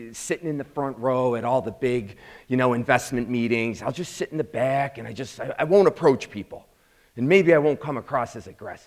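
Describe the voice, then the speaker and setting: At a fairly quick pace, a man speaks in an animated tone. His pitch is medium, with ordinary variation. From Chicago South Side, US. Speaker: program founder and instructor. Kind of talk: motivational talk to audience. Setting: live event with audience. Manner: animated storytelling.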